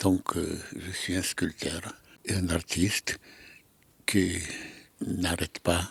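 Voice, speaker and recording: Long, frequent pauses break up a very slow, monotone delivery with flat intonation and a dry, close sound with no echo. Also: man, very deep, low pitch for a man. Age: 90s. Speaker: sculptor and Holocaust survivor. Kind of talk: casual interview in studio. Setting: artist's workshop. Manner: halting, repeating words.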